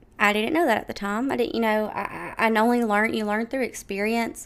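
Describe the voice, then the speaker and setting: An unremarkable speaking voice with ordinary pitch variation on a very clean recording with a silent background. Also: woman. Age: 20s. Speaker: podcast host. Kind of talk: solo monologue podcast. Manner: casual, filler-heavy.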